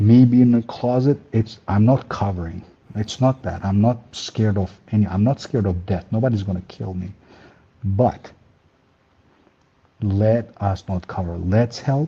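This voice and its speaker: With a non-native accent, a man with a fairly low voice speaks with long, frequent pauses. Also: ordinary pitch variation, moderate pace. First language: not English. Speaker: caller. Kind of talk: call-in encouragement speech.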